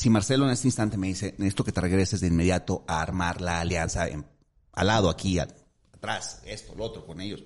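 Over a quiet background, a man with a very deep, low voice speaks at a very fast pace with ordinary pitch variation. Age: 50s. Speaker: politician, city councillor. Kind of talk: interview.

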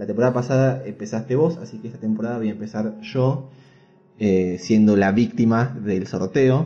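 A man with a normal speaking voice talks at a moderate pace. His pitch variation is ordinary. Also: medium pitch for a man, big swings in loudness. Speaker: podcast host. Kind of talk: casual chat.

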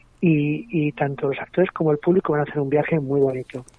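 A man speaks with a plain, everyday voice. His pitch is fairly high and his pace fairly quick. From Madrid, Spain. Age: 40s. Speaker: playwright and stage director. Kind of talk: radio interview.

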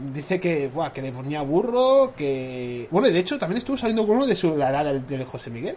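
Hardly pausing, a man with a fairly high voice speaks at a fairly quick pace with very wide pitch swings. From Catalonia. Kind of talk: casual chat.

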